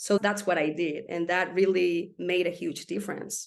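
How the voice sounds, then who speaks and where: A woman's medium-pitched voice at a moderate pace, over a quiet background. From Spain. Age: 40s. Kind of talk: interview answer.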